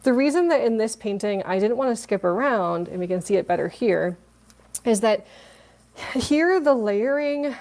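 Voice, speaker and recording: This woman's voice sits at a medium pitch with a dark, mellow tone. Her intonation is lively. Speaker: watercolor art teacher. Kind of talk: live online painting class. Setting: livestream on mobile device. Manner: fast; animated.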